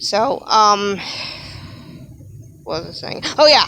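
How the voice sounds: A woman speaks slowly in a bright, sharp tone at a medium pitch. Her intonation is lively.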